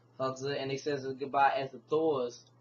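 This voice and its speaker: A man speaks with a somewhat breathy voice at a fairly slow pace. His intonation stays monotone and flat. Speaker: comic book reviewer. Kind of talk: casual video review. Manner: halting, many fillers and restarts.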